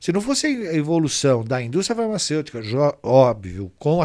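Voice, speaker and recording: A man with an unremarkable speaking voice, lively intonation and a moderate pace, on a very clean recording with a silent background. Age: 60s. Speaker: pharmaceutical industry association executive. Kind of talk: interview.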